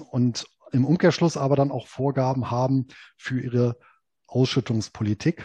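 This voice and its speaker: A man at a medium pitch and fairly slow pace, somewhat breathy with a dark, mellow tone, in a dry, close sound with no echo and a quiet background. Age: 40s. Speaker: investment blogger and author. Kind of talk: interview.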